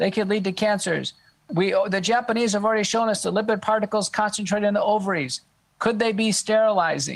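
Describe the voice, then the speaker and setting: Very fast delivery with fairly even intonation and very even loudness. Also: man, high pitch for a man. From Texas. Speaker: medical doctor, expert witness. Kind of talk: podcast interview. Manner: halting.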